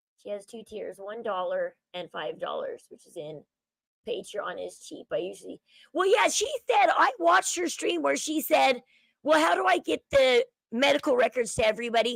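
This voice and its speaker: At a moderate pace, a woman talks with big swings in loudness, the sound dry and close with no echo. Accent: Southern California. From California (San Fernando Valley). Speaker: YouTube commentary streamer. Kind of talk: casual live-stream commentary.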